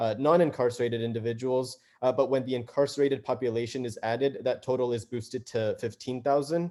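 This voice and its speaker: With a dark, mellow tone, a man speaks at medium pitch and with fairly even intonation. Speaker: civil rights advocate. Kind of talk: presentation on video call. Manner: fast; hesitant, many fillers.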